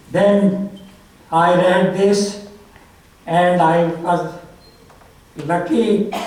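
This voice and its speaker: Amid noticeable background noise and audible room echo, a man speaks in a high pitch with fairly even intonation. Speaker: author speaking at a memorial. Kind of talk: memorial tribute speech.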